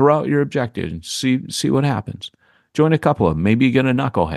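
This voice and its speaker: Over a quiet background, a man talks at a fairly quick pace and medium pitch in a dry, close sound with no echo. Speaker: church planting podcast co-host, pastor. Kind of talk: casual chat. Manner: animated.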